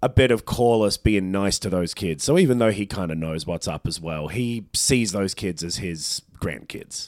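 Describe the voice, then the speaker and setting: The man's pitch sits fairly low, and he talks at a moderate pace. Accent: Australian. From Australia (Melbourne). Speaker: podcast co-host. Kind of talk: casual chat.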